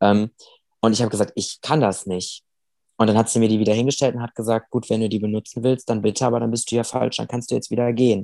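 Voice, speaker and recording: The voice is dark and mellow, delivered in a flat monotone at a very fast pace. The sound is dry and close, with no echo. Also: man, medium pitch for a man. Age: 20s. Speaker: amputee sharing his weight-loss story. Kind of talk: interview.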